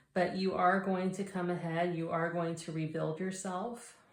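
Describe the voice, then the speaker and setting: Against audible room echo, a woman speaks very slowly at a fairly low pitch. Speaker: tarot reader. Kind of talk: tarot reading.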